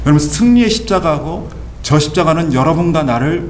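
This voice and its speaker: Amid noticeable background noise and audible room echo, a man talks at a fairly quick pace in a fairly high pitch. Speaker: pastor. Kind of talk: sermon. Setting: church. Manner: emphatic.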